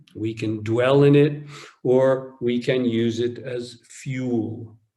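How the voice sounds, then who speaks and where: A man talks in a dark, mellow tone at a medium pitch. Audible room echo surrounds his voice. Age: 60s. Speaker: Zen teacher. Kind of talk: dharma talk. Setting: online retreat.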